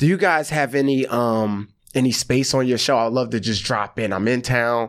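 With an American accent, a man talks at a moderate pace in an ordinary speaking voice at medium pitch, recorded very cleanly against a silent background. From US South, rural Georgia. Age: 30s. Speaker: comedian and actor. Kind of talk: casual chat.

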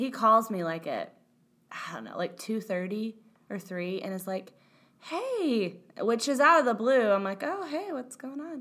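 At a fairly slow pace, a woman speaks in a bright, sharp tone at a fairly high pitch, with very wide pitch swings and big swings in loudness. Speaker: podcast co-host. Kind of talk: casual chat.

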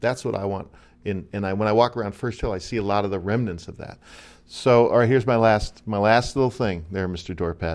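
Over a quiet background, a man with fairly low pitch speaks in an ordinary speaking voice at a fairly quick pace, with ordinary pitch variation. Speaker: radio interviewer. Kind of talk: interview. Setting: guest's home.

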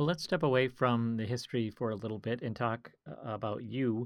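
A man with an Upper Midwest accent speaks with fairly even intonation. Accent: Upper Midwest American. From Minnesota. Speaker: podcast host. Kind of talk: interview; scripted introduction.

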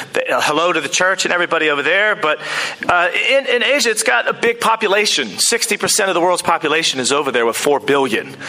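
At a fairly quick pace, a man with an American accent and high pitch talks over noticeable background noise. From United States. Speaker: pastor. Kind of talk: sermon. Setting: church. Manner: animated.

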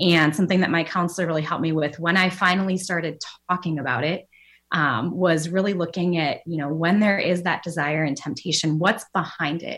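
A woman talks at a fairly quick pace with a fairly low pitch, fairly even intonation, and a normal speaking voice. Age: 40s. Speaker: church adult ministry director. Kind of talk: interview.

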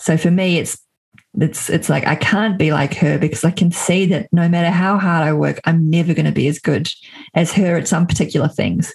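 Speaking at a fairly quick pace with an American accent, a woman keeps a fairly low pitch, very even loudness, and fairly even intonation. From New Zealand. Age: 40s. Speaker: entrepreneur and author. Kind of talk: interview.

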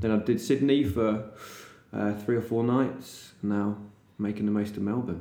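Amid audible room echo, a man with a southern English accent speaks at a fairly slow pace, his fairly low voice dark and mellow in tone. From England, Chatham, Kent. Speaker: artist and illustrator. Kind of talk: casual chat. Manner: animated.

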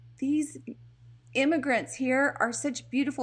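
A high-pitched woman with a Texan accent and an animated tone. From Texas. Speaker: mental health coach. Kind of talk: live stream monologue. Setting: live video stream at home.

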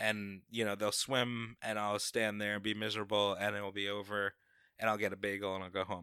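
A man with an American accent speaks at a fairly quick pace in a flat monotone, his fairly low pitch carrying a bright, sharp tone, in a very clean recording with a silent background. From New York, Long Island (Babylon). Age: 30s. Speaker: comedian. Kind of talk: casual chat.

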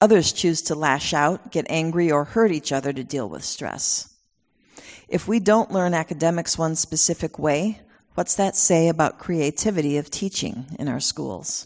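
A woman with a normal speaking voice talks at a fairly low pitch and moderate pace. Her pitch variation is ordinary, and the background is quiet. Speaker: guest speaker sharing her son's message. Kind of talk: sermon. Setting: church.

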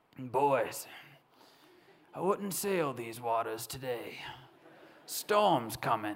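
A man's put-on character voice at a medium pitch, very slow, with long, frequent pauses. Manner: wise, prophetic, ominous.

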